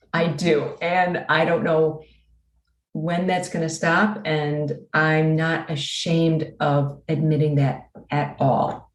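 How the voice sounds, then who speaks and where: A woman's very deep, low, somewhat breathy voice at a very slow pace with fairly even intonation. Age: 60s. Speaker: abuse survivor and author. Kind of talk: interview.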